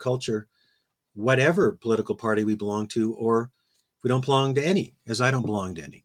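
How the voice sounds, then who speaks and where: A man's normal speaking voice, medium in pitch, with ordinary pitch variation and a fairly quick pace. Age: 60s. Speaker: philosophy professor. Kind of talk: interview conversation.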